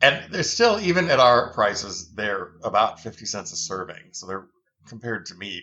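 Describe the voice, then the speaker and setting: Medium pitch for a man, very wide pitch swings, moderate pace. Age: 60s. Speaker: founder of an heirloom bean company. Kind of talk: podcast interview.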